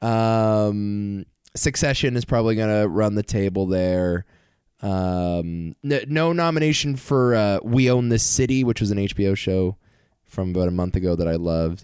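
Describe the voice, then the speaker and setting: A man's fairly low, unremarkable speaking voice with lively intonation, moderate pace and very even loudness, over a quiet background. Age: 20s. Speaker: podcast co-host. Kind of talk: casual chat.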